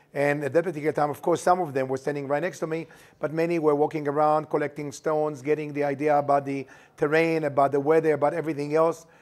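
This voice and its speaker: Speaking very fast, a man with a fairly high pitch keeps a monotone, flat intonation. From Israel. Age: 70s. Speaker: tour guide. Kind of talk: interview.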